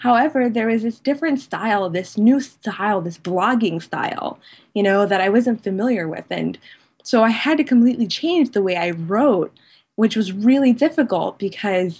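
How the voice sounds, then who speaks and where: Her voice fairly high and somewhat breathy, a woman talks at a moderate pace with lively intonation. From United States. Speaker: blogger. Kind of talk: interview.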